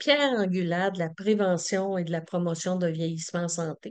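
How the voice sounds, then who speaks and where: In a quiet background, a woman speaks with a fairly low pitch and fairly even intonation. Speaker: community organization representative. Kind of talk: conference presentation. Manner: halting with many fillers.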